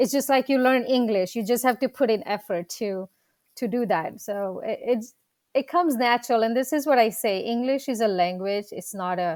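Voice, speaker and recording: On a very clean recording with a silent background, a woman with a Gujarati accent speaks fairly high at a moderate pace. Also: ordinary pitch variation. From India, Gujarat. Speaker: dentist and practice coach. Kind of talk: interview.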